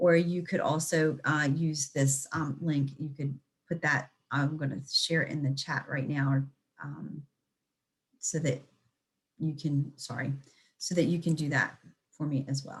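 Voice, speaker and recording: Speaking in a very deep, low pitch, a woman sounds somewhat breathy, her flat, monotone delivery coming at a fairly slow pace with long, frequent pauses. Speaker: extension educator. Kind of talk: lecture. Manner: stuttering.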